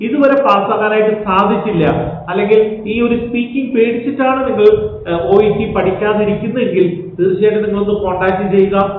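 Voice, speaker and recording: A man talks at a high pitch with ordinary pitch variation. Room echo is audible, along with noticeable background noise. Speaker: language teacher. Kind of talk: sales pitch; tutorial.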